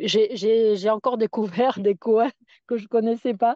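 The woman's voice is pitched fairly high. She delivers her words fairly slowly. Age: 60s. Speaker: retired nordic walking coach. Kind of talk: casual interview. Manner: hesitant, repeating words.

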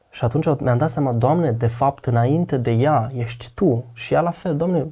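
Somewhat breathy, a man speaks at a moderate pace with ordinary pitch variation over a quiet background. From Romania, Botoșani; Romania. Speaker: guest sharing faith testimony; guest. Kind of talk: testimony in casual conversation. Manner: talkative. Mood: reflective, confessional. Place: studio. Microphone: lapel.

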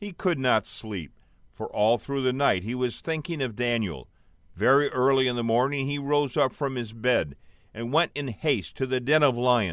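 The recording is very clean, with a silent background. A man with an unremarkable speaking voice talks at a medium pitch and moderate pace, with ordinary pitch variation. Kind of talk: audiobook reading aloud. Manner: steady, measured narration; solemn, earnest storytelling tone.

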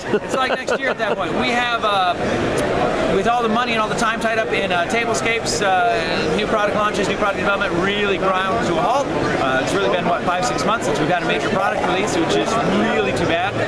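With loud background noise behind him, a man talks at a fairly quick pace with hardly any pauses. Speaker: miniatures company representative. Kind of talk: interview answer. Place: hall. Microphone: camera far.

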